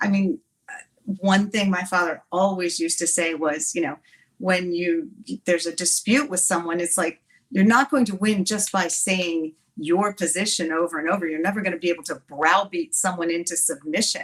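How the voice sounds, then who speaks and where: Speaking in a normal speaking voice with an American accent, a woman uses a fairly low pitch, ordinary pitch variation and a moderate pace. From Watertown, New York. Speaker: congresswoman, former lawyer. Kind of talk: interview answer.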